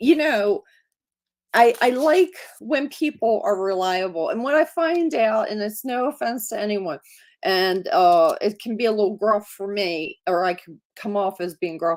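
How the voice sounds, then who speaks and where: With an American accent, the speaker moves at a fairly slow pace through very wide pitch swings on a very clean recording with a silent background. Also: woman, fairly high pitch for a woman. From South Baltimore, Maryland. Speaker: actor. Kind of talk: casual chat.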